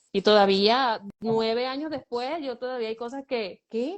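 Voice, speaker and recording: A woman talks at a fairly high pitch with ordinary pitch variation. Her pace is fairly slow. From Venezuela. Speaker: guest, runs a shelter for girls. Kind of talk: interview.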